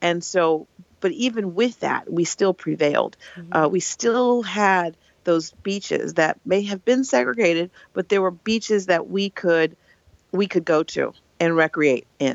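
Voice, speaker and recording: A woman speaks with an American accent at a medium pitch. Her pace is fairly slow and her intonation lively. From Oakland, California. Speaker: nonprofit founder. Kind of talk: interview.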